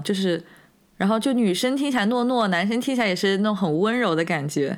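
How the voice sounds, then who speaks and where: A woman with a fairly high pitch speaks on a very clean recording with a silent background. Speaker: podcast co-host. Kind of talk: casual chat.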